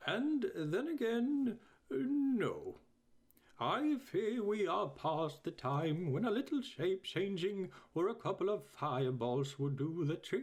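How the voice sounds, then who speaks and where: A man puts on a character voice, high-pitched with very wide pitch swings. He speaks at a fairly slow pace. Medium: read story. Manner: hesitant, full of ums and uhs.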